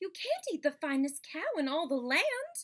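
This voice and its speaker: A woman uses a put-on character voice, squeaky and extremely high in pitch. She talks at a moderate pace with very wide pitch swings. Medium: read story. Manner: scolding, bossy.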